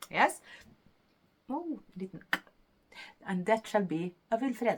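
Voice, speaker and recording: A woman speaks with a Norwegian accent and very wide pitch swings. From Norway. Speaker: knitting podcaster. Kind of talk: casual talk to camera.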